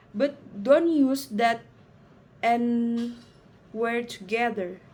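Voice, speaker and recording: Speaking at a very slow pace, a woman with a non-native accent uses a fairly high pitch with ordinary pitch variation. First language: not English. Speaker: student presenting a project. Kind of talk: reading aloud a school presentation. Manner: halting, many fillers and restarts.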